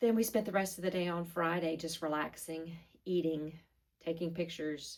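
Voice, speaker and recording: Her intonation is fairly even. The woman speaks with a fairly low pitch. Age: 60s. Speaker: fitness vlogger and figure competitor. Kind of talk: vlog monologue. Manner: casual with frequent fillers.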